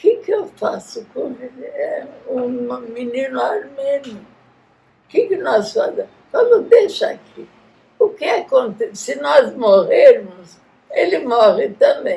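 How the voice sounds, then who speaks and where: At a very slow pace with long, frequent pauses, a woman speaks at an extremely high pitch, her pitch swinging very widely and her loudness shifting greatly. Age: 100. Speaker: genocide survivor's descendant, grandmother. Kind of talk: oral history interview.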